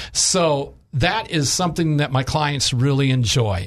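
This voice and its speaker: The speaker talks at a very slow pace in a somewhat breathy voice. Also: man. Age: 60s. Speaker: health insurance agent. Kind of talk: radio interview.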